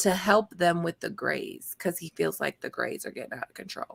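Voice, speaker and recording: A woman with a Baltimore accent and ordinary pitch variation, in a dry, close recording with no echo. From Baltimore, US. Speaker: after show co-host. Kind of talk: casual chat.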